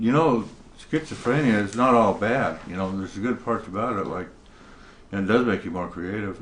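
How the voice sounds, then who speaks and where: Amid noticeable background noise, a man talks at a fairly quick pace and a fairly low pitch. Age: 50s. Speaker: painter with schizophrenia. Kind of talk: interview testimony.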